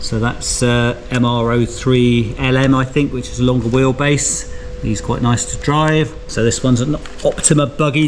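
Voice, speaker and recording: A man's medium-pitched, flat, monotone voice over noticeable background noise. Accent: British. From UK. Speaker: RC hobby youtuber. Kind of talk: casual video presentation. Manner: relaxed, conversational.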